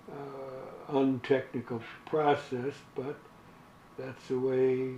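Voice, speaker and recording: Noticeable background noise under very slow speech. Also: man. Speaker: WWII fighter pilot veteran. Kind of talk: interview answer. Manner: hesitant, many filler words.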